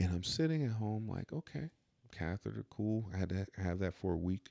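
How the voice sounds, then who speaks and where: Dry and close with no echo, a man's very deep, low voice has a dark, mellow tone, lively intonation and a moderate pace. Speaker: podcast host. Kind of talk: casual chat.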